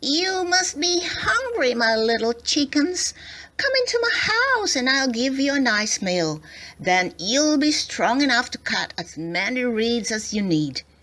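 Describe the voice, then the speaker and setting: A woman speaks in a put-on character voice pitched high. Her pace is fairly slow. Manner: friendly, coaxing, falsely kind.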